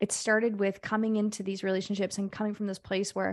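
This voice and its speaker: In a very clean recording with a silent background, a woman talks at a fairly quick pace at medium pitch, in an ordinary speaking voice. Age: 40s. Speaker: women's life coach. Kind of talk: casual chat.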